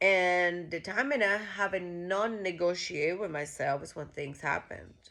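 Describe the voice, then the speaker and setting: With a Costa Rican accent, a woman talks fairly slowly in a fairly low, animated voice that has ordinary pitch variation and big swings in loudness. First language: Spanish. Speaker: vlogger. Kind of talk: casual monologue. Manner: halting.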